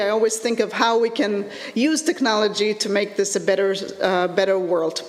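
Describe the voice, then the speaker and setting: Fairly high in pitch, a woman's voice comes with audible room echo and noticeable background noise. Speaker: educational technology lecturer. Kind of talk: conference presentation. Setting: conference with live audience. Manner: halting, many fillers.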